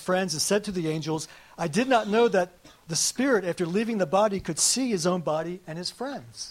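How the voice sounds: The clip features a natural reading voice. That quality holds from start to finish.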